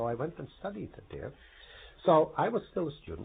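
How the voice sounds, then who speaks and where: Fairly quick talk from a man, its pitch swinging very widely. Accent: Croatian. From Croatia. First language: Croatian. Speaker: professor. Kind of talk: oral history interview. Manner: hesitant, many fillers.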